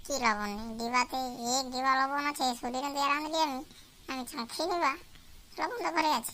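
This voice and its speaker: A woman puts on a cartoonish character voice, pitched high. She moves at a moderate pace over clear background noise. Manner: innocent, eager.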